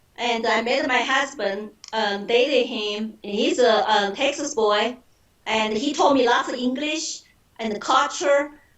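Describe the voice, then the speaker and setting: A woman speaks with a Chinese accent at a fairly slow pace. Her pitch is high, with ordinary pitch variation. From China (Shanghai). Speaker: political candidate. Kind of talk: interview.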